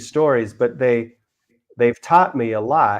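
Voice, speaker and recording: His voice sits at a medium pitch. The man keeps a moderate pace. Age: 60s. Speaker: yoga instructor. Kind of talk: demonstration talk. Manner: halting.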